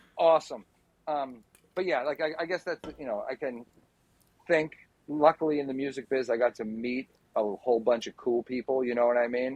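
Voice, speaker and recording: A man with a medium pitch talks at a fairly quick pace with ordinary pitch variation and long, frequent pauses. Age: middle-aged. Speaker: podcast guest, music industry person. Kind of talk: casual chat.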